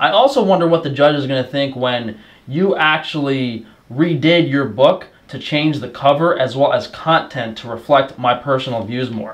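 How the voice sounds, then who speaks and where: The delivery has an animated tone, a moderate pace, ordinary pitch variation and big swings in loudness. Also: man. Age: 20s. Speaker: YouTuber and meat business owner; YouTuber. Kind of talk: rant reading from a lawsuit. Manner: sarcastic, animated. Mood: indignant, combative. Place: home room.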